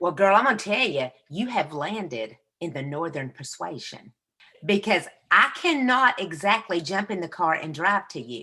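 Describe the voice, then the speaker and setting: In a Southern US accent, a woman speaks at a moderate pace with a fairly low pitch, a bright, sharp tone, very wide pitch swings and big swings in loudness. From US South. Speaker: podcast co-host, inspirational speaker. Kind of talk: casual chat. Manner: animated.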